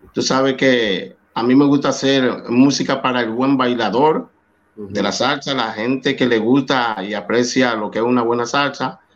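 A man's medium-pitched voice with a Dominican accent, at a moderate pace and with fairly even intonation. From Dominican Republic, San Cristóbal. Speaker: salsa singer. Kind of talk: interview.

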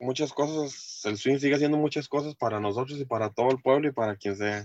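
He has a normal speaking voice at a medium pitch with ordinary pitch variation. His pace is fairly quick. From Costa Rica, Heredia. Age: 30s. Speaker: swing dancer and truck driver. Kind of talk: interview. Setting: video call.

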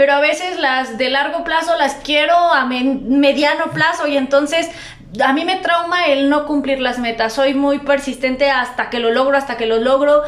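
With noticeable background noise and audible room echo, a woman speaks at a moderate pace in a high pitch with fairly even intonation. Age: 20s. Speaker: entrepreneur, gym owner and PE teacher. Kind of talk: casual chat.

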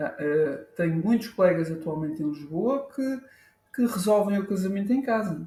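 With an Azorean accent, a man talks at a high pitch and a moderate pace with lively intonation. Long, frequent pauses break up his speech. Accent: Azorean Portuguese, kept. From Azores, Faial island. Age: 40s. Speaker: professional photographer. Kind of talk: casual interview. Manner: halting, many repetitions and fillers.

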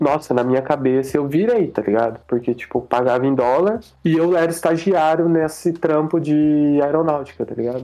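A man's voice has a fairly high pitch, a dark, mellow tone and ordinary pitch variation. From Caçapava, São Paulo interior, Brazil. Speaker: illustrator. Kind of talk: casual chat.

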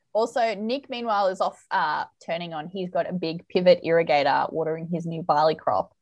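Speaking with an Australian accent at a fairly quick pace with hardly any pauses, a woman keeps a fairly low pitch and ordinary pitch variation against a quiet background. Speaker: podcast host and romance author. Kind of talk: casual chat.

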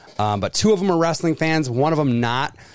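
Speaking with an American accent, a man talks at a fairly quick pace, his fairly high pitch swinging very widely. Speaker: podcast host. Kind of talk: casual chat.

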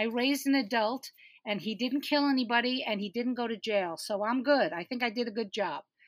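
A woman's normal speaking voice, fairly high in pitch, with ordinary pitch variation at a fairly quick pace. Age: 60s. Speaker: comedian and producer. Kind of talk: casual chat.

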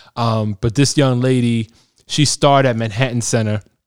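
Against a silent background in a very clean recording, a man with a normal speaking voice talks at a fairly quick pace and medium pitch, his intonation fairly even. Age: 30s. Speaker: podcast host. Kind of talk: casual interview. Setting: recording in the Bronx.

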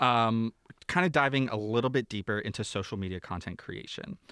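The background is silent and the recording very clean. A man talks with ordinary pitch variation. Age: 30s. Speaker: podcast co-host. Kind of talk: reading aloud. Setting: studio. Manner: animated.

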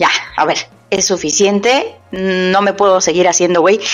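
An animated voice speaks at a fairly slow pace with music in the background. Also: woman. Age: middle-aged. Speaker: podcast host. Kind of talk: casual chat. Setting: at home.

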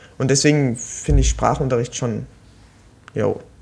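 A man talks with vocal fry and fairly even intonation. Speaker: podcast co-host, student. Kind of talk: casual chat. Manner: halting.

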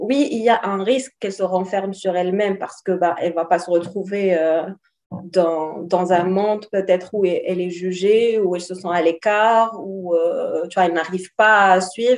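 A woman with a plain, everyday voice speaks at a moderate pace, her medium pitch held to fairly even intonation. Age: 30s. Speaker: life coach. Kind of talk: interview.

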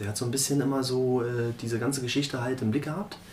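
A man with a medium pitch talks at a very fast pace, with audible room echo and noticeable background noise. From Berlin (Marzahn). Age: 40s. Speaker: former professional footballer. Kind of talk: interview.

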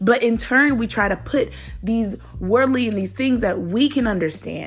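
A woman with an unremarkable speaking voice talks at a moderate pace and medium pitch with ordinary pitch variation. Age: 20s. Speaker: devotional podcast host. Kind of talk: devotional talk. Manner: casual.

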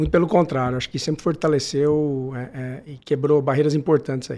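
Pitched fairly high, a man speaks with a dark, mellow tone. His pace is fairly quick and his intonation fairly even. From Brazil, Manaus and São José do Rio Preto. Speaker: lawyer and business executive. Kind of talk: interview.

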